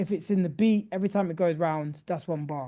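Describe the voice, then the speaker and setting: The background is quiet. A man speaks in a dark, mellow tone with fairly even intonation. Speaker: music producer teaching a workshop. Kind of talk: tutorial. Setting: video call. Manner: casual.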